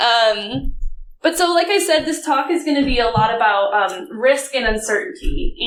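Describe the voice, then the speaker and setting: With an American accent, a woman speaks at a moderate pace in a high voice with very wide pitch swings, amid noticeable background noise and audible room echo. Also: very even loudness. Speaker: conference speaker, data analytics director. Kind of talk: conference talk. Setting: stage with audience. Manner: casual, filler-heavy.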